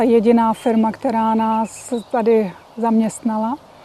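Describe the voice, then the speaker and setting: Noticeable background noise is present. Through it, a woman talks at a fairly high pitch. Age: 50s. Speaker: Czech emigrant in South Africa. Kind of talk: interview.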